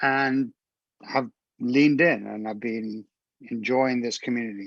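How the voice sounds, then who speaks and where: A man speaks at a medium pitch with fairly even intonation. His pace is fairly slow, and the background is quiet. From England. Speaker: live stream co-host, modular synth musician. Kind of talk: casual chat.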